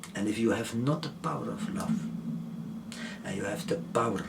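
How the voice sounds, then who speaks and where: Whispering in a soft-spoken, gentle tone, the speaker keeps a moderate pace over noticeable background noise. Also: man. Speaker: author and educator. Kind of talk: interview answer. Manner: very soft-spoken, just above a whisper; gentle, humble.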